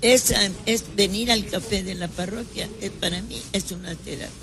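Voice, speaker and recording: A woman with a medium pitch and ordinary pitch variation talks at a moderate pace against noticeable background noise. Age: 90s. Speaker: retired teacher. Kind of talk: casual interview. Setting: café.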